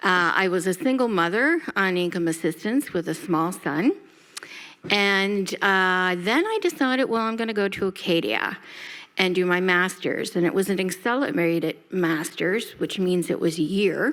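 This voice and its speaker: A woman speaks in a Nova Scotian accent at a medium pitch. Her pace is fairly slow. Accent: Nova Scotian Canadian English. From Halifax, Nova Scotia, Canada. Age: 60s. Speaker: nonprofit CEO. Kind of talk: panel introduction.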